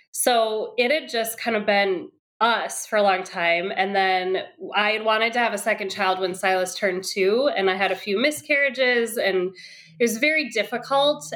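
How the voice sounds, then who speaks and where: With an American accent, a woman speaks in a plain, everyday voice at a moderate pace, her fairly high pitch showing ordinary variation and her loudness very even. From Wisconsin. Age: 30s. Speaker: parent. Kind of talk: casual chat.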